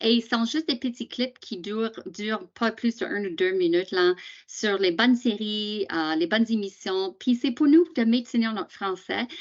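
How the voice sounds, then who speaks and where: With an English accent, a woman speaks at a moderate pace in a fairly high pitch with ordinary pitch variation. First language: English (speaking French). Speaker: teacher association presenter. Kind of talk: training webinar. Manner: halting, many hesitations.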